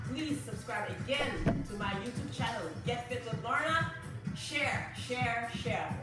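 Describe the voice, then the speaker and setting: A woman speaks at a fairly slow pace. Loud background music and audible room echo fill the recording. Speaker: fitness instructor. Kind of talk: workout instruction and channel outro. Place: home room. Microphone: camera far.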